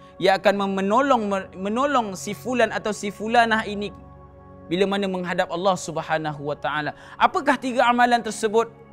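A high-pitched male voice at a moderate pace with ordinary pitch variation, faint music playing behind it. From Malaysia. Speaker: religious teacher and Quran reciter. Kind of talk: religious sermon. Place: empty room.

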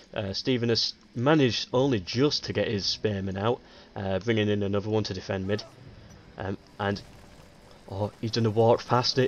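At a fairly quick pace, a man with a fairly low pitch speaks with ordinary pitch variation. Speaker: game commentator. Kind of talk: strategy game commentary, casual play-by-play. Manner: thinking aloud, halting, with many fillers; conversational, low-key.

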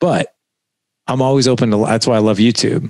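The sound is dry with no echo, and the background is quiet. A man talks at a very fast pace. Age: 40s. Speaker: podcast host. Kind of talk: casual interview. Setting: video call. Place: studio. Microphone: headset.

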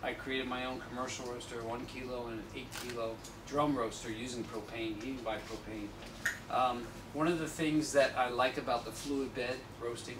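Noticeable background noise is present. Through it, a man speaks at a moderate pace. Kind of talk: talk and Q&A answer. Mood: relaxed, conversational. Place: shop. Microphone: camera far.

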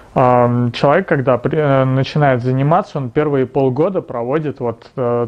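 A man at medium pitch and a moderate pace, with ordinary pitch variation.

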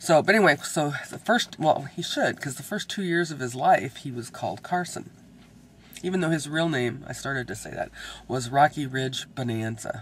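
Moderate speed and lively intonation in a somewhat breathy, fairly high male voice. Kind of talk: casual vlog talk to camera. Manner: rambling, hesitant.

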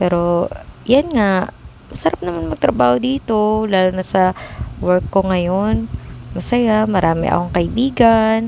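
Lively intonation runs through a woman's fairly low-pitched, unremarkable speaking voice at a fairly slow pace. The sound is dry with no echo, with light background noise. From Philippines. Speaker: vlogger. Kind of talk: casual vlog monologue. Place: office. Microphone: phone near.

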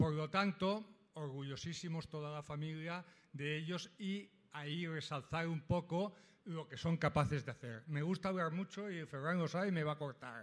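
A man's fairly high voice at a moderate pace, with ordinary pitch variation and a plain, everyday voice. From Catalonia. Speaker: audience member, parent. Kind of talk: audience comment.

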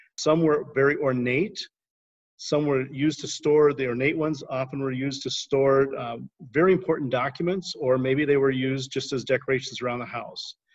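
A man speaking at a moderate pace against a quiet background. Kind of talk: devotional teaching. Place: home room. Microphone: video call.

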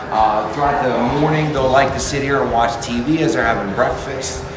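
Amid noticeable background noise and audible room echo, a man talks at a fairly quick pace. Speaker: community staff guide. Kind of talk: tour guide commentary. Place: hall. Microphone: phone near.

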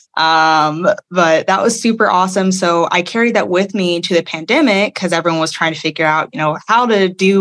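Her pitch sits at a medium level for a woman and varies in an ordinary way. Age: 20s. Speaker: judge. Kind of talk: interview. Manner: halting.

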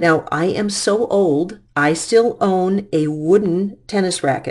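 Against a quiet background, a woman with an American accent uses a plain, everyday voice and lively intonation. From US Midwest, Detroit. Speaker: physics teacher. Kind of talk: lecture. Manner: casual, conversational.

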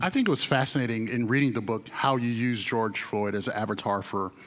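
A man speaks with an American accent in a normal speaking voice at medium pitch. His pace is fairly quick and his intonation fairly even. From North Carolina. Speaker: newspaper reporter, moderator; moderator. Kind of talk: onstage interview. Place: stage. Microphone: handheld.

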